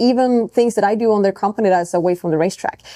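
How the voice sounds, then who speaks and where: A woman with a non-native accent speaks in a dark, mellow tone with ordinary pitch variation. The sound is dry and close, with no echo. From Europe. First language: not English. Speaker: racing driver. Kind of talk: podcast interview. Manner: casual, with frequent fillers and restarts.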